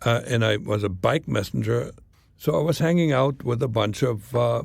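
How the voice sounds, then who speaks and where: A man with a slight German accent talks at a moderate pace with lively intonation and some vocal fry. The recording is very clean, with a silent background. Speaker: former spy. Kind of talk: interview storytelling.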